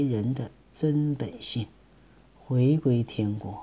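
A man's somewhat breathy voice at a very slow pace, with ordinary pitch variation. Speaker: amateur commentator. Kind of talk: reading aloud with casual commentary. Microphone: phone near.

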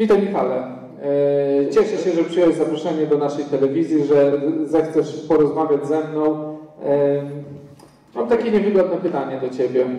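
Long, frequent pauses break up a man's fairly high voice, which moves at a moderate pace with ordinary pitch variation and audible room echo. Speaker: casting interviewer. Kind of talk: interview. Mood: slightly hesitant, nervous. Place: hall.

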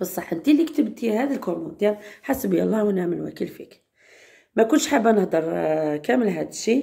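This voice has a dark, mellow tone with vocal fry and very wide pitch swings. The pace is fairly quick over a quiet background. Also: woman. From Algeria. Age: 30s. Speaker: vlogger. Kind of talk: casual vlog talk. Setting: outdoors in courtyard. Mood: upset about a comment. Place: home room. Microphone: phone near.

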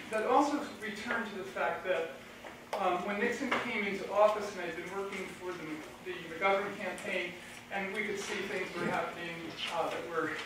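Against noticeable background noise and strong room echo, a woman speaks at a moderate pace with ordinary pitch variation. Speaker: conference speaker. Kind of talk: lecture. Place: hall.

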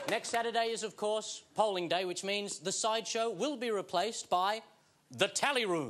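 There is light background noise behind a man speaking at a high pitch. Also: ordinary pitch variation, moderate pace. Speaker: TV comedy host. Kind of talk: comedy TV monologue. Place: studio. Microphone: lapel.

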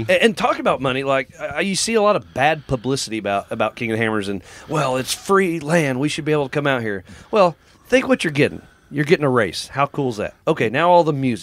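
A man at a fairly high pitch and a very fast pace. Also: lively intonation. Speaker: race announcer. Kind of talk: interview answer.

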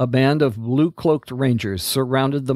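This is a natural reading voice. It carries the whole clip.

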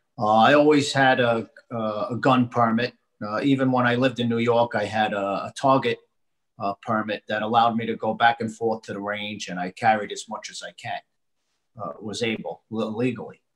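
Intonation stays fairly level. The tempo is moderate. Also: man. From United States. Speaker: author and gun rights advocate, bereaved parent. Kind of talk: interview discussion. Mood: earnest, intense. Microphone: webcam.

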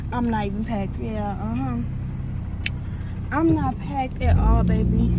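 Loud background noise runs under a woman's voice. The sound is dry with no echo, and she speaks at a fairly slow pace. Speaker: vlogger. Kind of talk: casual vlog chat. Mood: playful, later emotional. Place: car. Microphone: phone near.

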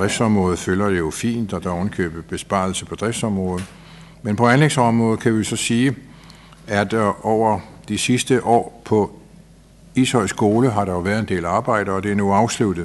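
A man has a normal speaking voice with a fairly low pitch. He goes at a moderate pace, his intonation fairly even. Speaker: council chair. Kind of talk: formal report reading. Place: meeting room. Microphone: podium.

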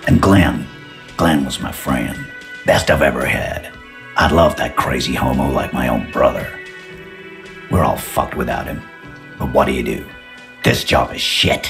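A put-on character voice with a fairly bright tone and vocal fry moves at a fairly slow pace with ordinary pitch variation. Faint music plays in the background. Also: man, extremely low pitch for a man.

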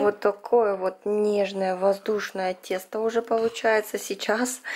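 A woman's slightly mellow, medium-pitched voice at a moderate pace

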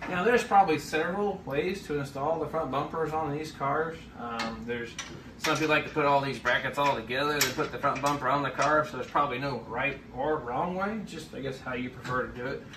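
Through noticeable background noise, a man speaks at a fairly quick pace with ordinary pitch variation. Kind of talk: tutorial. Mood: relaxed, explanatory. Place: garage. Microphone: camera far.

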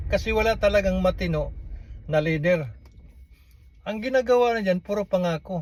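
A man with a high voice speaks at a moderate pace with ordinary pitch variation, stopping often for long pauses. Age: 60s. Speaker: vlogger. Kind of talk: political commentary monologue.

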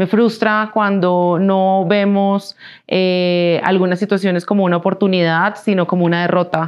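A woman speaks with a Colombian accent at a fairly slow pace. Behind her the background is quiet. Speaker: business executive; interviewee. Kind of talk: interview. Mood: calm, reflective. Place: studio. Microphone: lapel.

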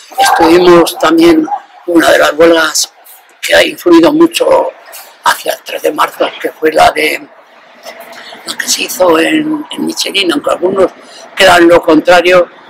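A man speaks at a fairly slow pace with long, frequent pauses. Noticeable background noise runs behind him. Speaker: retired factory worker and former trade union leader. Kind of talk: interview answer. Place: street.

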